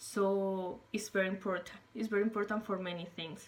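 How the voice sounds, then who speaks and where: A woman's fairly slow, monotone, flat delivery in a Spanish accent. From Colombia. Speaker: English learner, former English teacher. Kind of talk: self-recorded interview monologue. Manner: halting, with many fillers.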